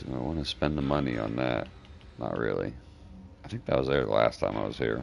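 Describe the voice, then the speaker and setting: Speaking fairly quickly in a relaxed tone, a man with a very deep, low pitch keeps a fairly even intonation and leaves long, frequent pauses amid noticeable background noise. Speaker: game streamer. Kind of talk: live gameplay stream commentary. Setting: live stream. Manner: talks low and mumbles when thinking; casual, relaxed.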